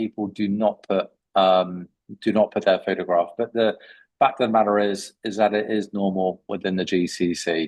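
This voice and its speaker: A man speaks in a British accent with fairly low pitch and fairly even intonation. The sound is dry and close with no echo, over a quiet background. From UK. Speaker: CV writing expert. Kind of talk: webinar Q&A. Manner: hesitant with many fillers.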